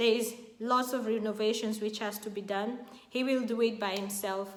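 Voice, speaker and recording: Audible echo fills the room. The speech keeps a moderate pace. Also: woman. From Kenya. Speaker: YouTube vlogger. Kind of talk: casual vlog talk to camera. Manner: animated.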